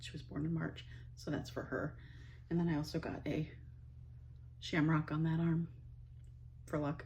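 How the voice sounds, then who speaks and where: Long, frequent pauses break up the speech of this voice with an Ohio accent. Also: woman, moderate pace. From US Midwest, northeast Ohio. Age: 50s. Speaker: vlogger, stay-at-home mom. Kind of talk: casual monologue to camera. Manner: rambling, hesitant with fillers.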